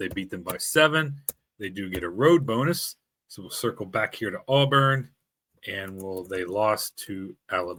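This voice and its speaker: With a bright, sharp tone and lively intonation, a man with a fairly low pitch speaks at a moderate pace in a very clean recording with a silent background. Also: big swings in loudness. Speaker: sports podcast host. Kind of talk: tutorial. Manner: casual, hesitant with fillers.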